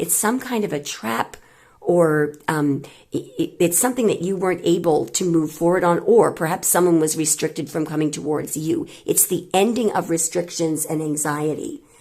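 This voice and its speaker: A woman's put-on character voice, raspy and fairly low-pitched, at a moderate pace. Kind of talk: tarot reading, explaining cards. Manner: loud.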